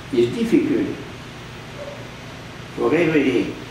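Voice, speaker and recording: Noticeable background noise runs behind a man as he speaks. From Belgium. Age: 80s+. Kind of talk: sermon. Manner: slow.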